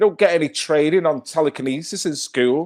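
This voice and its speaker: On a very clean recording with a silent background, a man with a Mancunian accent talks in an animated tone at a fairly high pitch and a moderate pace. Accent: Manchester (Mancunian). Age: 50s. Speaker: live-stream host. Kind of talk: casual live-stream chat.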